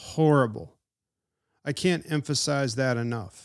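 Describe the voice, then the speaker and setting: In a very clean recording with a silent background, a man speaks at a fairly slow pace with a medium pitch. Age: 40s. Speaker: podcast host teaching the Bible. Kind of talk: Bible teaching podcast. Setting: drinking tea while recording. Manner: animated.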